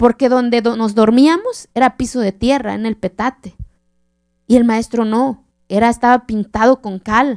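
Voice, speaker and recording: In an Oaxacan accent, a woman speaks at a fairly slow pace with a fairly high pitch and a passionate tone, the sound dry and close with no echo. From Oaxaca mountains, southern Mexico, Zapotec village. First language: Zapotec (speaking Spanish). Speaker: keynote speaker. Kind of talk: keynote lecture. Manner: passionate storytelling.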